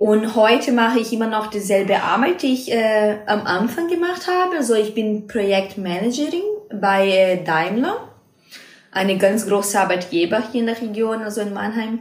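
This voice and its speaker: A woman with a Brazilian accent talks at a moderate pace and fairly high pitch, with lively intonation. Audible room echo and noticeable background noise surround her voice. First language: Portuguese (speaking German). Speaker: acro yoga teacher and project manager. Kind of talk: interview. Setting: recorded in person in a house library. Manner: halting, non-native with fillers.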